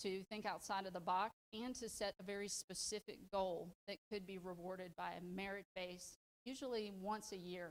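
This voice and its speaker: With a Southern US accent, a woman speaks at a moderate pace in a medium pitch. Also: dry, close sound with no echo. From US South. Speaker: leadership program participant, public defender. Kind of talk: presentation. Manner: animated.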